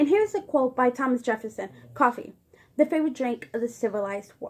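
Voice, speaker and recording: With lively intonation, a woman speaks at a very fast pace in a high pitch. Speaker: student presenter. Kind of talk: informal presentation. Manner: halting, many fillers and restarts.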